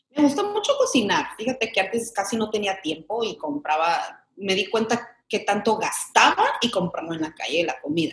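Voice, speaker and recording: Hardly pausing, a woman with a fairly high pitch talks at a moderate pace with lively intonation. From Mexican-American, grew up in Chicago. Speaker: actress. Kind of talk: casual interview chat.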